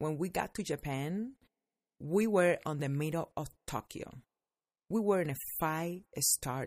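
A woman with a Spanish accent speaks in a very deep, low voice with an animated tone and lively intonation. Her pace is fairly slow with long, frequent pauses, on a very clean recording with a silent background. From Cuba. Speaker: podcast host, entrepreneur and former dancer. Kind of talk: casual storytelling monologue.

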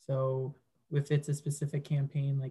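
A man with a fairly high-pitched, somewhat breathy voice and a dark, mellow tone talks at a moderate pace with fairly even intonation. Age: 20s. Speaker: digital marketer. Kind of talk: casual chat.

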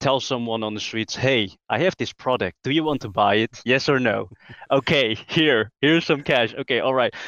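In a normal speaking voice, someone speaks at a moderate pace with ordinary pitch variation, recorded with a dry, close sound with no echo over a quiet background. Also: man. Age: 20s. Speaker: automation entrepreneur. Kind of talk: casual interview.

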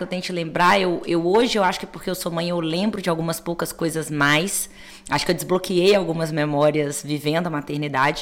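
Clearly audible background noise accompanies a woman who talks rather briskly, her pitch varying in an ordinary way. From Belo Horizonte, Brazil. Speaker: innovation executive and mentor. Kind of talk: interview.

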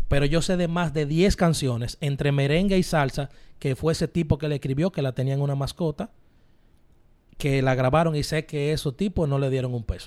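A man with fairly high pitch and a normal speaking voice, on a very clean recording with a silent background. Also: ordinary pitch variation, fairly quick pace. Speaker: radio host. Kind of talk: casual chat.

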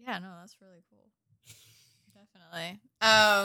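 Her tone is bright and sharp. The woman speaks with a Midwestern accent. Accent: general American, Midwestern. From US Midwest, Indianapolis. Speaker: podcast co-host. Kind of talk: casual chat. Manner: laughs often.

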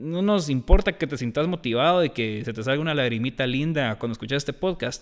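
A man with an unremarkable speaking voice talks at a fairly quick pace with hardly any pauses, using lively intonation at a fairly high pitch. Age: 20s. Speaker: podcast co-host. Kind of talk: casual chat.

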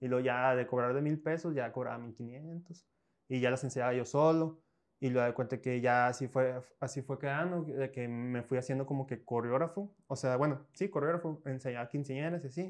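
A man's normal speaking voice at a medium pitch and fairly quick pace, fairly even intonation, quiet background. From northern Mexico, Coahuila (Piedras Negras). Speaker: choreographer and dance teacher. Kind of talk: casual interview.

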